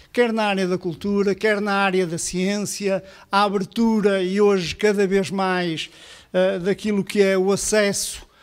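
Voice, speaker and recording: A man's high-pitched, monotone voice at a fairly slow pace, flat in intonation, against a quiet background. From Portugal. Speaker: public cultural institution director; event host. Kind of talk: formal opening speech. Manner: hesitant, many filler sounds. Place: hall.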